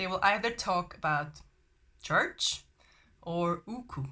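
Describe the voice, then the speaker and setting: A woman with a German accent speaks fairly slowly at medium pitch, her tone bright and sharp. Her intonation is lively, on a very clean recording with a silent background. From Germany. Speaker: language learning vlogger. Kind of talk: casual vlog talk. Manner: hesitant with fillers.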